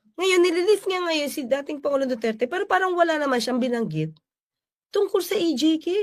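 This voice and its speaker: A woman speaks with extremely high pitch and lively intonation at a fairly quick pace. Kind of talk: commentary.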